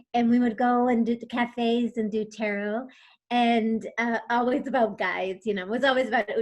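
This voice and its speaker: With a normal speaking voice, a woman talks at a moderate pace and a fairly high pitch. Her intonation is fairly even, and the background is quiet. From USA, Spanish-speaking home. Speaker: tarot reader and coach. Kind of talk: interview.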